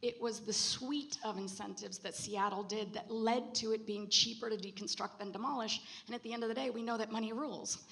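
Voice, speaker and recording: At a fairly quick pace with hardly any pauses, a woman with a fairly high pitch speaks over noticeable background noise. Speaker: panelist on circular construction policy. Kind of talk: panel discussion. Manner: fast; animated.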